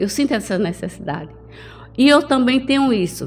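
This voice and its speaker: Music plays in the background as a woman speaks at a moderate pace. Her intonation is lively. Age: 60s. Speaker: pastor and TV program host. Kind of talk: interview.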